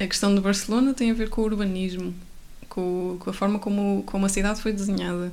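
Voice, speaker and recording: A woman speaks at a moderate pace and medium pitch, her intonation monotone and flat, with audible room echo. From Portugal, Coimbra. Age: 20s. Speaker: architecture student. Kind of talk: casual chat.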